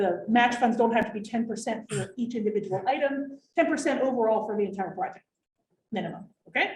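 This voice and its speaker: Fairly quick and somewhat breathy, a woman speaks at a fairly high pitch with ordinary pitch variation. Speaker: waste district director presenting grants. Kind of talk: informational workshop presentation. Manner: fast.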